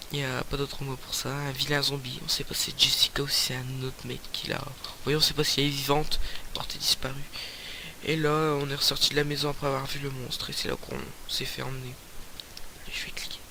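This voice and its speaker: A man's fairly high, monotone, flat voice at a fairly quick pace with long, frequent pauses, plus audible room echo and noticeable background noise. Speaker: gaming YouTuber. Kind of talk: let's play commentary. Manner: loud; hesitant, many fillers.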